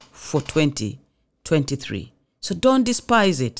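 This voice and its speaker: A woman speaks in an animated tone, her pitch swinging very widely at a fairly slow pace. The recording is very clean, with a silent background. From Kenya, Mombasa. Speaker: pastor and radio show host. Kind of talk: sermon. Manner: animated, laughs often.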